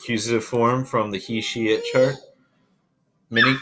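Fairly slow delivery over light background noise. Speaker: Latin teacher. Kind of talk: tutorial.

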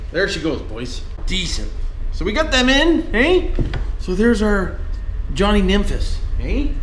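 A man with a high pitch and very wide pitch swings speaks at a fairly slow pace with long, frequent pauses over light background noise. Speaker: RC hobby vlogger. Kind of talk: casual talk to camera. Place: garage. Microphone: camera far.

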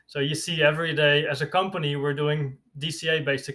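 This man has a bright, sharp tone and a fairly high pitch, with a Dutch accent. His intonation stays monotone and flat. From Netherlands. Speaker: bitcoin writer; podcast guest. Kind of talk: interview. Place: home room. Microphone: earbuds.

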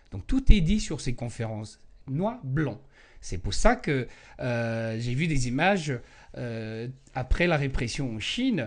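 Against a quiet background, the speaker goes very slowly with lively intonation and long, frequent pauses. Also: man, big swings in loudness. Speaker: Falun Gong practitioner and spokesperson; spokesperson. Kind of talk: interview. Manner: halting, many hesitations. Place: home room. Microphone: handheld.

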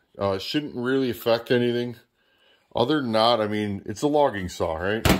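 With lively intonation, a man speaks at a fairly slow pace and a medium pitch.

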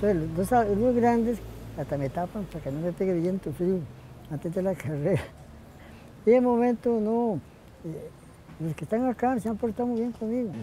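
With a high pitch for a man, lively intonation and a moderate pace, this man speaks with long, frequent pauses over light background noise in a dry sound with no echo. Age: 80s+. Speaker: marathon runner. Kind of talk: interview answer. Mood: warm, reminiscing. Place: garden.

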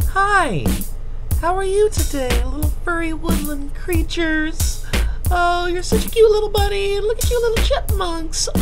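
Over loud background music, someone does a put-on character voice at a moderate pace. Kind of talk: polite, service. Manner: sweet, cheerful, sing-song.

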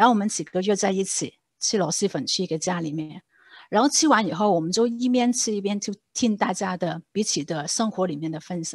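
In a Hong Kong accent, the speaker moves at a fairly quick pace with lively intonation, the sound dry with no echo over a quiet background. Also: woman, medium pitch for a woman. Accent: Hong Kong Cantonese accent in Mandarin. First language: Cantonese (speaking Chinese). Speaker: church lay leader teaching on discipleship. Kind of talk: church seminar talk. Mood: warm, storytelling. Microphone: video call.

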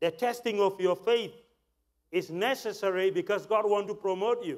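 At a moderate pace, a man speaks in a high pitch against a quiet background. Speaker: preacher. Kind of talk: sermon. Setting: church. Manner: animated, exhortative preacher delivery; call-and-response with congregation. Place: church. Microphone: lapel.

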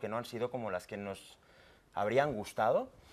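His intonation is fairly even. The man talks at a moderate pace. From Catalonia. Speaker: independence activist; guest. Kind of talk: TV panel debate. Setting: TV studio. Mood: earnest, argumentative. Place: studio. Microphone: lapel.

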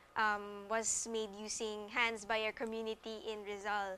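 Light background noise accompanies a woman speaking very slowly at a fairly high pitch. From Philippines. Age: young. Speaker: social entrepreneur. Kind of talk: TV interview. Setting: studio. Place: studio. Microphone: lapel.

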